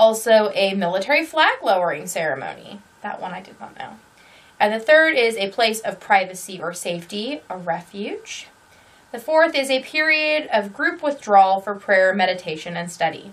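At a moderate pace, a woman speaks with very wide pitch swings and big swings in loudness. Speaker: crochet podcaster. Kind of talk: casual vlog chat. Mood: cheerful, playful. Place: home room.

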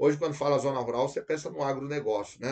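Against a quiet background, a man talks in a fairly high pitch. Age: 50s. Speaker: law course teacher. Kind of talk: lecture. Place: studio.

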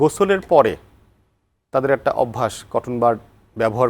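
Using a normal speaking voice, a man at medium pitch speaks with lively intonation in a dry, close sound with no echo. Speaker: doctor and TV health show host. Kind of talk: TV health interview. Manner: formal.

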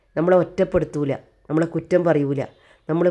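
A woman's voice sits very deep and low, dark and mellow in tone, with a quiet background behind her. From Kannur, Kerala. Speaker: lifestyle vlogger. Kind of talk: personal testimony monologue.

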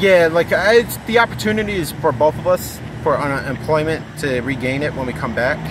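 A man with an American accent talks at a fairly quick pace and fairly high pitch, the sound dry with no echo and the background noise noticeable. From Buffalo, New York; New York. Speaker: walker crossing the country to lose weight. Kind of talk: street interview. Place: street. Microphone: phone near.

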